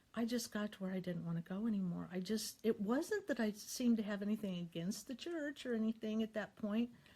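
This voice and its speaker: A woman with an American accent speaks at a fairly high pitch, in a dark, mellow, somewhat breathy tone. Her pitch varies in an ordinary way, and she hardly pauses at all. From US Midwest. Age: 60s. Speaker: YouTuber sharing faith. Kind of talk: personal testimony. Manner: halting.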